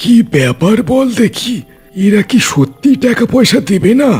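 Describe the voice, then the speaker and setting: Faint music plays behind a man doing a cartoonish character voice, high-pitched with very wide pitch swings, very even loudness and a moderate pace. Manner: sneering, coarse.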